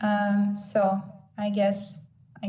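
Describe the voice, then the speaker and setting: Audible room echo surrounds a woman with a Ukrainian accent speaking at a medium pitch. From Ukraine. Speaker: social worker. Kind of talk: online panel presentation.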